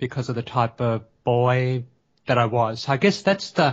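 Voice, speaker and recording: A man speaks at a medium pitch with an Australian accent. His voice is somewhat breathy, and his intonation stays fairly even. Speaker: teacher educator and lecturer. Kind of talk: interview. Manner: hesitant, many fillers.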